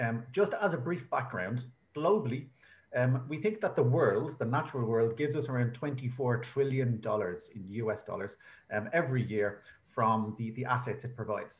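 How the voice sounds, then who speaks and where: Using lively intonation and a somewhat breathy medium voice, a man with an Irish accent speaks at a moderate pace. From Ireland. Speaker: researcher presenting at a conference. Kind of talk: conference presentation. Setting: online video conference.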